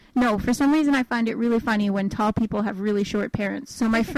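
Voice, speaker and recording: A normal speaking voice from a woman, fairly high-pitched and fairly quick, with fairly even intonation and a dry, close sound with no echo. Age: 20s. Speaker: podcast co-host. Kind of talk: casual chat. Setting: home, parents' house.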